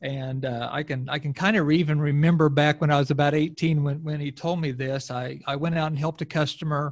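A man's fairly high, somewhat breathy voice, very fast and monotone, with hardly any pauses. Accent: American. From southwest Missouri, Ozarks. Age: 50s. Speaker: recruiting company CEO, sports parent. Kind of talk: casual chat. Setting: hotel room, remote recording.

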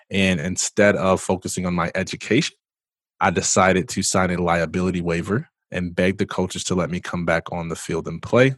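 Recorded very cleanly with a silent background and a dry, close sound with no echo, a man talks at a fairly quick pace in a very deep, low voice. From US Midwest, Michigan (Jackson). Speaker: entrepreneur and motivational speaker. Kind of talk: interview conversation. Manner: animated.

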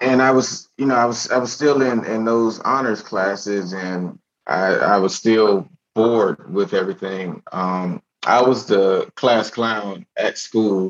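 A plain, everyday voice, a man's, medium in pitch with an American accent, a fairly slow pace and ordinary pitch variation. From Miami, Florida. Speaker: army veteran and stand-up comedian. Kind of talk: casual interview chat.

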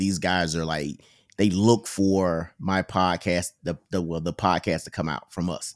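A man with a Mississippi accent and a very deep, low pitch, at a fairly slow pace. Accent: Southern, Mississippi. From Mississippi, US South. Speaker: Navy sailor, podcast co-host. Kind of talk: casual interview chat. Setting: remote call recording.

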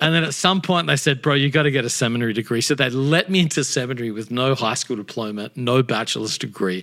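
Very fast and with hardly any pauses, a man talks in an Australian accent at a medium pitch with ordinary pitch variation. The recording is very clean, with a silent background. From Australia, Adelaide. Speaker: pastor and author. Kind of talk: casual interview chat.

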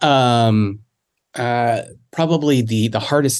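A man speaks at medium pitch with an American accent and ordinary pitch variation. It is a plain, everyday voice against a quiet background. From South Carolina. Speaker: church family ministry director. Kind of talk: casual chat.

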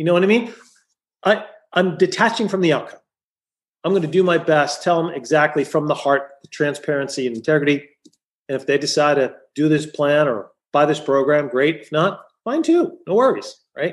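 Here a man has an ordinary speaking voice at a fairly high pitch. He talks at a moderate pace with ordinary pitch variation. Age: 50s. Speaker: chiropractor turned business coach. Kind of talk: interview conversation.

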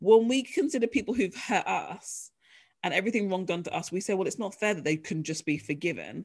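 At a fairly quick pace, a woman speaks at a medium pitch. Her intonation is lively. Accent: British. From UK. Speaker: author and ministry leader. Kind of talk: interview.

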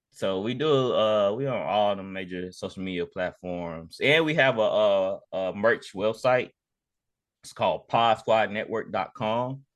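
In an ordinary speaking voice, the speaker goes at a fairly slow pace with ordinary pitch variation and big swings in loudness. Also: man, medium pitch for a man. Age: 30s. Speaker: sports podcast host. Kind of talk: casual chat.

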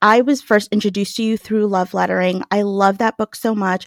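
With an American accent and an unremarkable speaking voice, a woman speaks at a moderate pace and fairly high pitch on a very clean recording with a silent background and a dry, close sound with no echo. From New York. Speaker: podcast co-host. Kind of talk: interview.

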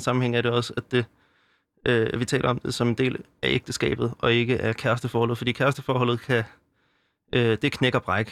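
A man at a medium pitch and a moderate pace, dry and close with no echo. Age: 20s. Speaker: anti-abortion youth organizer and theology student. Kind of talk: interview. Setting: studio. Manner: halting, many fillers.

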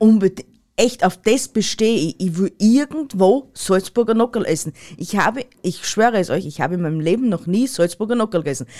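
With an Austrian accent, a woman speaks at a fairly quick pace in a dark, mellow tone with lively intonation. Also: medium pitch for a woman. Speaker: podcast co-host. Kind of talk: casual chat.

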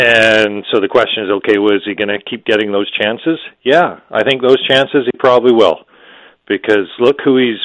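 A man with a normal speaking voice talks at medium pitch. His pace is moderate and his pitch variation ordinary. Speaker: hockey journalist. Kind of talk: casual sports analysis chat.

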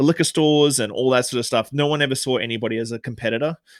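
Speech with an Australian accent comes at a fairly quick pace with fairly even intonation, on a very clean recording with a silent background and a dry, close sound with no echo. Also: man. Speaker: bartender and author. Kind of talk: interview.

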